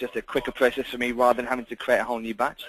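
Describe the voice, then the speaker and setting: Talking at a very fast pace, a man is recorded with dry sound and no echo. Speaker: software demonstrator. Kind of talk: tutorial. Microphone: video call.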